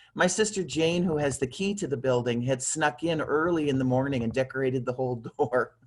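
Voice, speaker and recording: An unremarkable speaking voice belongs to a man who talks at a fairly quick pace and fairly high pitch, with ordinary pitch variation and hardly any pauses. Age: 60s. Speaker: fan on a video chat. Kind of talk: casual chat. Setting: video call.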